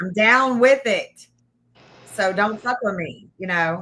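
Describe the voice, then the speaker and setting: A woman talks in a Tennessee accent. Her tone is animated. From Nashville, Tennessee (Antioch). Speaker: true crime content creator. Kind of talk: casual livestream chat.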